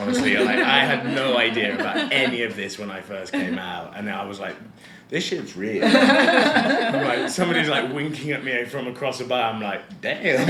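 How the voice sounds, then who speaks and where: At a fairly slow pace, a man talks over noticeable background noise. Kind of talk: interview answer. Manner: casual, conversational.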